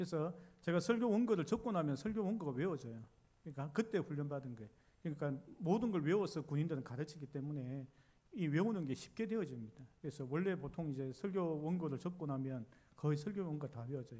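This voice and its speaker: Very fast and somewhat breathy, a man with a slight Busan accent talks in a dark, mellow tone, his fairly high pitch moving in lively intonation. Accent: slight Gyeongsang (Busan) dialect. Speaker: pastor. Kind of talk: sermon.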